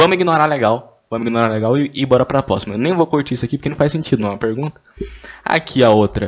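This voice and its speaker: A man's speech races along very fast, his intonation lively. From Brazil, Goiânia. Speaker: podcaster. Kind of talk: casual solo monologue. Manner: animated.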